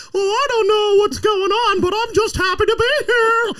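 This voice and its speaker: In a squeaky, put-on character voice at an extremely high pitch, the speaker sounds cheerful and keeps a moderate pace over light background noise. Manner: cheerful, innocent.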